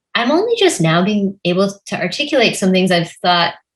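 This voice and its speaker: Somewhat breathy, a woman at a medium pitch speaks at a fairly quick pace with lively intonation. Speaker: novelist. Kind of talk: conversational interview.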